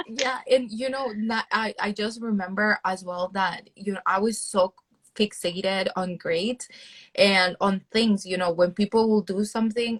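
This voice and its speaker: With a Spanish accent, a woman speaks at a medium pitch with fairly even intonation, the recording dry and close with no echo. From El Salvador. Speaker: PhD student and content creator. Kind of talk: interview.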